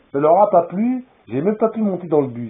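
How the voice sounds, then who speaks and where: Very wide pitch swings from a male speaker. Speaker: vlogger. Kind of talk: rambling video monologue. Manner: loud; halting.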